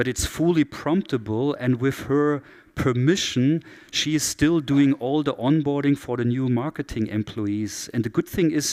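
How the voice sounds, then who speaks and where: The speaker has a German accent and a moderate pace with ordinary pitch variation, in a very clean recording with a silent background and a dry, close sound with no echo. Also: man, fairly high pitch for a man. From southern Germany. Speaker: keynote speaker, digital strategy expert. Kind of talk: conference keynote.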